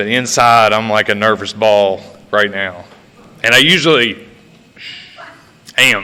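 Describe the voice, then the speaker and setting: Loud and bright, the voice carries an Appalachian accent and a sharp tone with fairly even intonation. It moves at a fairly slow pace with long, frequent pauses. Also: man, fairly low pitch for a man. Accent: Appalachian American. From West Virginia. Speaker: recovery speaker. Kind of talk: testimony. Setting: stage with audience.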